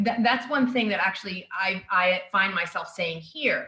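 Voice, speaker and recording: Speaking with an American accent, a woman keeps a moderate pace. Her pitch varies in an ordinary way. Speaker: university staff member, former journalist. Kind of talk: personal storytelling on a video call. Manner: hesitant, many fillers.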